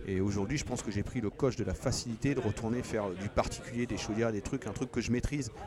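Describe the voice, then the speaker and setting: A man talking at a very fast pace with hardly any pauses and fairly even intonation, amid noticeable background noise. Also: medium pitch for a man. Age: young. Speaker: plumber. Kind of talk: casual chat. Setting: trade show.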